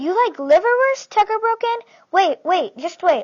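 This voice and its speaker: A woman uses a put-on character voice that is squeaky and extremely high in pitch. She speaks at a moderate pace. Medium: read story. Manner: excitable, eager.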